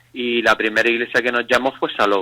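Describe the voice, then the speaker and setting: A man with a bright, sharp tone speaks at medium pitch in a dry, close sound with no echo. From Canary Islands, Spain. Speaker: pastor. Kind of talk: radio interview testimony.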